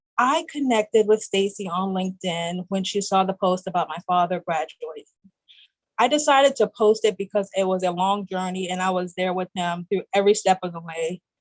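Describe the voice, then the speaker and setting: A woman speaks in a plain, everyday voice at a fairly quick pace, with medium pitch, ordinary pitch variation and an American accent. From US South. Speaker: guest, graduate student. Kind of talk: interview.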